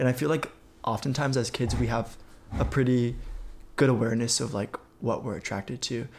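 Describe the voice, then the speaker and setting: A man with an American accent speaks at a fairly quick pace in a medium-pitched voice. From Southern California. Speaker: tech worker. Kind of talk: casual chat. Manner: casual, frequent fillers.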